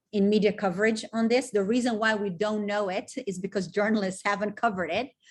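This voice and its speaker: Against a quiet background, a woman talks at a fairly quick pace in a fairly high, somewhat breathy voice with fairly even intonation. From Brazil. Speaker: documentary film director. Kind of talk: webinar interview.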